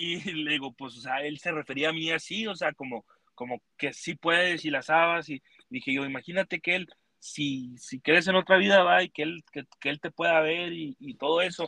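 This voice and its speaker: A man with a normal speaking voice talks in a fairly high pitch with ordinary pitch variation. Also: moderate pace. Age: 20s. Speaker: rodeo roper. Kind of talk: casual chat.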